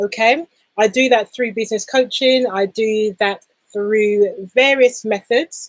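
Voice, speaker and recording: Dry and close with no echo, a woman with a London accent and fairly high pitch speaks at a fairly slow pace. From London, England. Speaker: business coach. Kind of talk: live stream talk. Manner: animated.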